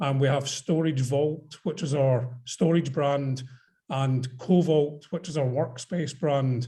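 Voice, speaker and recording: Speaking very slowly with a Scottish accent, the voice has a dark, mellow tone, is somewhat breathy, and keeps a fairly even intonation. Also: man, fairly high pitch for a man. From Scotland. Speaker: investor. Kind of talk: panel discussion on video call. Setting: video call.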